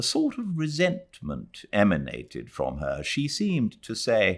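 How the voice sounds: At a slow pace, a man speaks with a fairly low pitch and very wide pitch swings.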